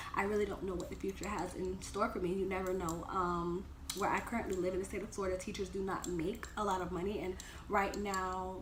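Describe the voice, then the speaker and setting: A woman speaks at a fairly quick pace, in a medium pitch with monotone, flat intonation. Noticeable background noise and audible room echo surround her voice. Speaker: dental assistant vlogger. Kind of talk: casual Q&A vlog. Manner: hesitant, many ums.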